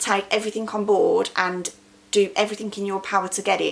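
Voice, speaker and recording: A woman at medium pitch with fairly even intonation, amid noticeable background noise. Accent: English. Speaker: small business owner and vlogger. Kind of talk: motivational talk to camera.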